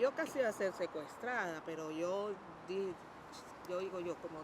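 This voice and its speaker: Noticeable background noise is present. A woman speaks at a fairly low pitch. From Colombia, Buenaventura. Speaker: trade unionist, former nurse. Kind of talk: testimony.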